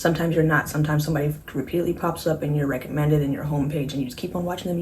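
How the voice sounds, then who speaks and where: A woman talks very fast in a room with audible echo and noticeable noise behind her. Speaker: beauty vlogger. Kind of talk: makeup tutorial vlog. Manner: animated.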